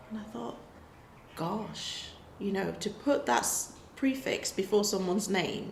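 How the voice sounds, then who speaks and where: Speaking at a fairly slow pace with long, frequent pauses, a woman with a medium pitch uses lively intonation over noticeable background noise and audible room echo. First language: not English. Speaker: life coach vlogger. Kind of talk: casual talk to camera. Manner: conversational, hesitant with restarts.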